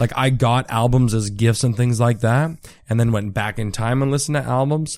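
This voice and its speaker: A man with an Ontario accent talks fairly quickly at medium pitch with fairly even intonation. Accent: Canadian (Ontario). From Ontario, Canada (Richmond Hill, near Toronto). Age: 20s. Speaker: stand-up comedian. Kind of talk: casual chat. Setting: host's apartment.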